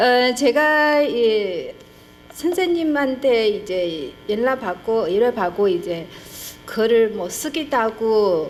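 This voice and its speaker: Very slowly and at a high pitch, a woman speaks with very wide pitch swings over noticeable background noise. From China. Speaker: historian, conference presenter. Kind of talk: academic presentation. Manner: halting, many fillers.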